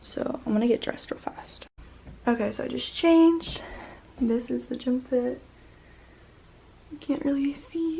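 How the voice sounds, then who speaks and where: Speech at a moderate pace, with ordinary pitch variation, is broken by long, frequent pauses over noticeable background noise. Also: woman, high pitch for a woman. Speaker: fitness content creator. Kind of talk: casual vlog narration. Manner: talking quietly.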